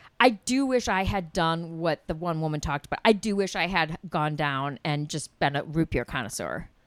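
Over a very clean recording with a silent background, a woman with an American accent speaks in a plain, everyday voice. Her pitch is fairly low, her pace moderate, and she barely pauses. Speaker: podcast co-host. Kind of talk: casual chat.

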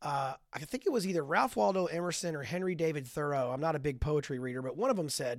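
A man with a fairly high pitch and lively intonation, a normal speaking voice, in a very clean recording with a silent background. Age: 50s. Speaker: author and men's ministry leader. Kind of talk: casual interview.

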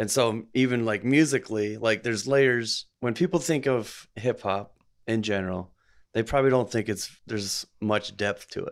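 A normal speaking voice at a moderate pace, captured on a very clean recording with a silent background. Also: man, medium pitch for a man, ordinary pitch variation. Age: 40s. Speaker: podcast host and delivery driver. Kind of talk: casual chat.

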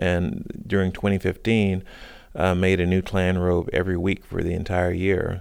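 A man with an American accent speaks at a very deep, low pitch and a moderate pace. His monotone, flat delivery sits on a very clean recording with a silent background. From US South, South Carolina. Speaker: multimedia artist and cellist. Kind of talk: radio interview.

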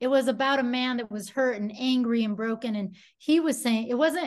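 A woman's fairly high-pitched, normal speaking voice over a quiet background. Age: 40s. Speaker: musician and prison chaplain. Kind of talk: casual chat.

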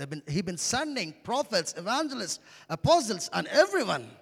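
Speaking with an Indian accent, a man sounds animated, his pitch swinging very widely. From India, Andhra Pradesh. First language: Telugu. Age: 30s. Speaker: pastor. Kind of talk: sermon. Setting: church.

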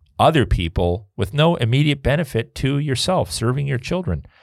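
Over a silent background in a very clean recording, a man with vocal fry speaks at a moderate pace with very wide pitch swings. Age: 50s. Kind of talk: casual chat.

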